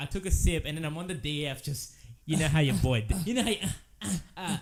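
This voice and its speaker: A man with an Australian accent talks very fast at a fairly high pitch, animated in tone. His intonation is lively, with vocal fry. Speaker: podcast host. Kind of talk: casual chat.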